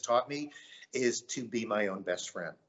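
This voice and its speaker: The speaker is a man with an unremarkable speaking voice. His pitch varies in an ordinary way, and he keeps a moderate pace. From US South, Myrtle Beach, South Carolina. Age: 50s. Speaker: painter. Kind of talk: interview.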